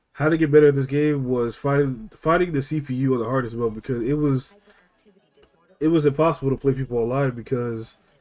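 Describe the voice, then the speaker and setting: A man at medium pitch and a fairly quick pace, with fairly even intonation and music in the background. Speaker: gaming youtuber. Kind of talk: casual gaming commentary. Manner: fast; halting, many fillers.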